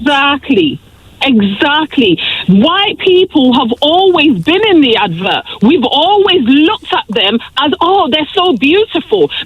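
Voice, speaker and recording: Pitch swings very widely while loudness stays very even, and the tone is angry. The pace is fairly slow, with noticeable background noise. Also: woman, high pitch for a woman. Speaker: radio caller. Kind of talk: radio phone-in call. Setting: phone line. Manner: angry, impassioned.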